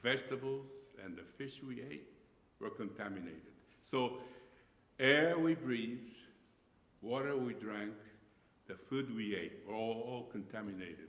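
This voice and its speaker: A man talks with long, frequent pauses and big swings in loudness. The room echo is audible. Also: medium pitch for a man, lively intonation, moderate pace. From Japan. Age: 70s. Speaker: pastor. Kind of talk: lecture. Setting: church. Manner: halting.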